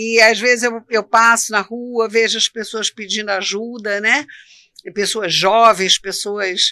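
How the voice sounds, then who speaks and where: On a very clean recording with a silent background and a dry, close sound with no echo, a woman with a fairly high pitch and a bright, sharp tone speaks very slowly in a monotone, flat intonation. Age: 60s. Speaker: co-founder of a charitable institute. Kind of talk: podcast interview.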